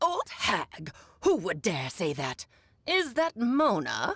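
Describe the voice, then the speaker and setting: A put-on character voice, fairly high in pitch, with very wide pitch swings at a fairly slow pace. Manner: imitating another character's voice.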